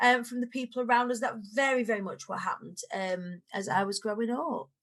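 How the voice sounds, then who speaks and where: A woman speaks with a Lancashire accent. Her pitch is high. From northern England, Preston, Lancashire. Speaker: motivational speaker. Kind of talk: casual chat.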